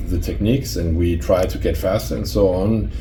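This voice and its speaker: A man with a Danish accent speaks in a very deep, low pitch. There is audible room echo and noticeable background noise. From Denmark. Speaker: memory sports competitor and keynote speaker. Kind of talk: interview conversation. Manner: hesitant, with fillers and repeated words.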